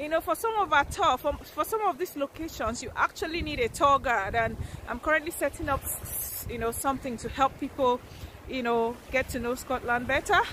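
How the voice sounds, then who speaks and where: A woman speaks at a moderate pace in a high voice with lively intonation, the sound dry with no echo and a little background noise. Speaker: travel vlogger. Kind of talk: casual vlog chat. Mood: cheerful, enthusiastic. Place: beach. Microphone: phone near.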